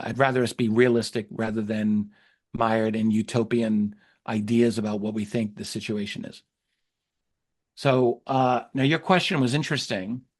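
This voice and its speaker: Against a quiet background, a man with a plain, everyday voice speaks at a moderate pace and medium pitch with fairly even intonation. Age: 60s. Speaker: UFO researcher and historian. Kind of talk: interview conversation.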